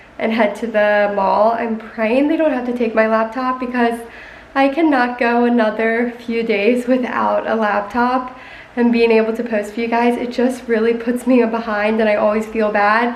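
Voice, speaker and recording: A woman speaks in a flat, monotone way, with audible room echo and noticeable background noise. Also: fairly high pitch for a woman, moderate pace. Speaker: lifestyle vlogger. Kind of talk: casual vlog talk. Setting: dressing room.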